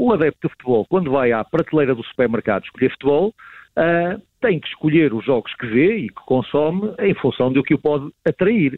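At a fairly quick pace, a man with a fairly high pitch speaks with lively intonation. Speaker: marketing professor and sports marketing expert. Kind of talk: radio interview commentary. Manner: hesitant with repetitions and fillers.

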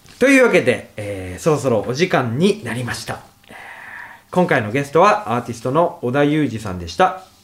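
A man with a fairly high voice talks at a moderate pace, with very wide pitch swings and big swings in loudness. Noticeable background noise sits behind him. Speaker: radio host. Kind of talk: casual interview.

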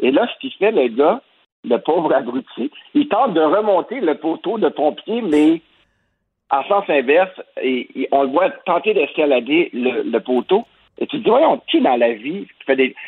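Pausing long and often, a man speaks fairly slowly at a high pitch with very wide pitch swings. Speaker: cultural journalist. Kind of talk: opinion commentary.

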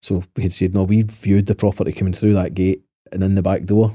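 On a very clean recording with a silent background, a man with a Lanarkshire accent talks at a fairly quick pace in a very deep, low pitch and a monotone, flat intonation. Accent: Scottish (Lanarkshire). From Scotland, Motherwell. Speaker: property developer. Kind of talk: casual chat. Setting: studio.

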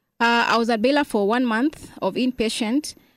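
A woman with a Kenyan accent, fairly high pitch, ordinary pitch variation, and a fairly slow pace. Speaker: gym member with spinal cord injury, wheelchair user. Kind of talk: interview.

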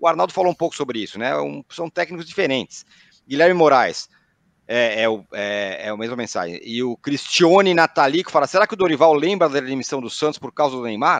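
A man with a plain, everyday voice, fairly high in pitch, lively in intonation and fairly quick, in a dry, close sound with no echo. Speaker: podcast host. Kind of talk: casual chat. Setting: video call.

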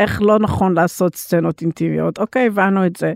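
The sound of this woman with an English accent is dry and close, with no echo. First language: English (speaking Hebrew). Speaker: intimacy coordinator for film and TV. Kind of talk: interview. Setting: studio.

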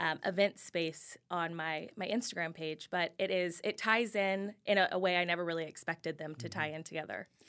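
Speaking at a moderate pace with ordinary pitch variation, a woman with an American accent has a normal speaking voice, heard in a very clean recording with a silent background. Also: hardly any pauses. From Kansas City, Missouri. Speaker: influencer. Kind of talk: casual interview.

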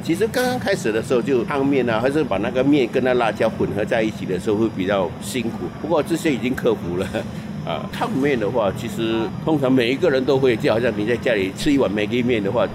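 A man rushes through his words at a very fast pace, with noticeable background noise throughout. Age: 50s. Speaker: hawker. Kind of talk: interview testimony.

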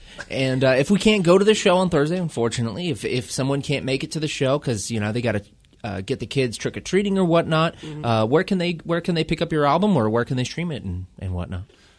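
A man talks at a very fast pace in an upbeat tone. His fairly high pitch swings very widely. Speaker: radio host. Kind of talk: radio DJ patter, local-music show intro and interview. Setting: radio studio with band guests. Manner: upbeat, casual, friendly radio banter; quick, punchy promo-style delivery.

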